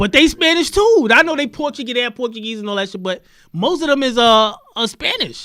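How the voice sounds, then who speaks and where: Extremely high in pitch, a man's bright, sharp, animated voice is raised and projected, with lively intonation at a fairly quick pace. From New York. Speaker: podcast host. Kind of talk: heated debate.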